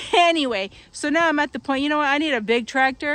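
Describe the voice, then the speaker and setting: In a Quebec accent, a woman talks at a moderate pace with lively intonation. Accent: French Canadian accent in English. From Quebec and New Brunswick, Canada. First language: French. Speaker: farm vlogger. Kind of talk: casual vlog talk to camera. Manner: rambling, with many fillers and restarts.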